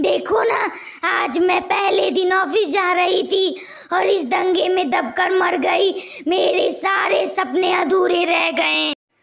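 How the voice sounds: A woman puts on a cartoonish character voice at an extremely high pitch. She delivers it at a fairly slow pace.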